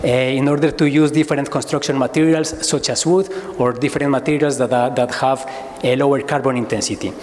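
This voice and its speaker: Noticeable background noise runs under the speech. The room echo is audible. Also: man. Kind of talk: conference presentation. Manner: fast; halting, many repetitions.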